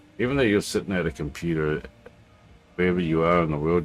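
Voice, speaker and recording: Over music in the background, a man talks at a very fast pace in a very deep, low voice with ordinary pitch variation. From New Zealand. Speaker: flight sim streamer. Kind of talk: casual livestream chat. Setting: home, at a computer. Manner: halting, many fillers.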